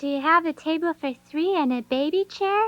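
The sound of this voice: A squeaky, cartoonish character voice at high pitch. The pace is moderate.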